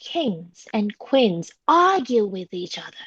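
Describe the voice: A woman speaks slowly with big pitch swings and a slightly husky edge, the sound dry and close with no echo. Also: medium pitch for a woman.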